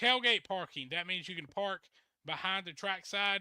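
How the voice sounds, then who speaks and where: In a Southern accent, a man speaks at a fairly quick pace with a high pitch and a bright, sharp tone, the sound dry and close with no echo. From US South. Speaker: truck pulling show host. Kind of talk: casual interview show.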